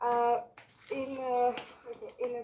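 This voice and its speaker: The pace here is very slow. The speaker is a woman. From Switzerland. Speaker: English learner. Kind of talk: language lesson practice. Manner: halting.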